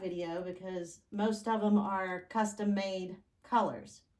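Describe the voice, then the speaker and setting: Speaking at a very slow pace and medium pitch, a woman talks with a Southern US accent. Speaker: fluid art painter, channel host. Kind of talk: tutorial with announcements. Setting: home art studio, far from camera. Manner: loud, raised voice; casual, chatty. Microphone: microphone not plugged in, on camera mic far away.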